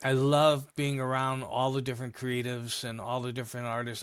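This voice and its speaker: In a very clean recording with a silent background, a man of medium pitch speaks fairly quickly with monotone, flat intonation. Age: 70s. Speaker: music business consultant. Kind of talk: interview.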